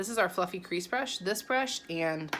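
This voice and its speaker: A woman's voice over noticeable background noise. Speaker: makeup consultant. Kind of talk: makeup tutorial. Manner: casual, chatty; stumbling over words.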